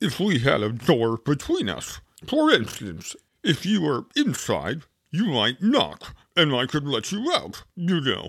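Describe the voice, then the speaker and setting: A man does a put-on character voice at a fairly high pitch and a fairly slow pace on a very clean recording with a silent background. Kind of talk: comic character reading.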